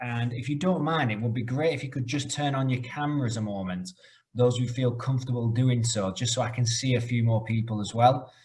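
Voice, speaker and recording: Fairly quick speech from a man with a British accent. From UK. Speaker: corporate trainer. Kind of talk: webinar presentation.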